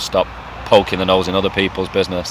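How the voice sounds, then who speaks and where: With an English accent, a man speaks at a very fast pace in a very deep, low pitch, using monotone, flat intonation over noticeable background noise. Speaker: football fan vlogger. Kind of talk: casual monologue vlog. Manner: quick.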